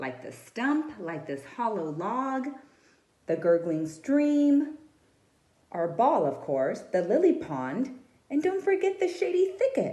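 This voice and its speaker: Putting on a rumbling character voice, a woman speaks at a fairly slow pace with very wide pitch swings. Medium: read story. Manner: fretful, grumbling.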